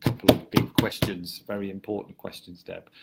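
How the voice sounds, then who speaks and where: A man with an English Midlands accent, very deep and low in pitch, monotone and flat. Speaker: social media marketing consultant. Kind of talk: interview chat. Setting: Facebook live video. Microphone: poor quality live stream audio.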